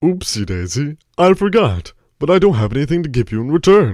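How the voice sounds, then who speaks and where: Using a put-on character voice, a man talks at a fairly quick pace and fairly high pitch with very wide pitch swings. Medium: audio drama. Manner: folksy, earnest.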